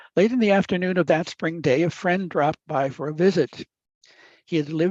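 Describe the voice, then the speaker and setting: A voice with an Upper Midwest accent over a quiet background. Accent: upper Midwest American. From US Midwest. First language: Italian. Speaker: professor. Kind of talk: lecture. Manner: halting.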